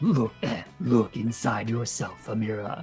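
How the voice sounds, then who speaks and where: A booming, put-on character voice with a low pitch moves at a fairly slow pace over clear music in the background. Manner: imperious, commanding.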